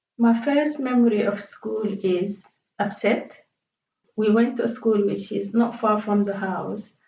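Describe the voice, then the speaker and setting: Her pace is fairly slow and her intonation fairly even. The woman's voice is somewhat breathy with a fairly high pitch. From Sudan, Khartoum. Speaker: interviewee. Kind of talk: life story interview. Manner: halting.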